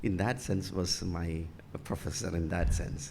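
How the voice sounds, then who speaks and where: The speaker has a Keralan accent, with audible room echo. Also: man. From Kerala, India. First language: Malayalam. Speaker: bishop. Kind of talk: interview. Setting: church. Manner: halting.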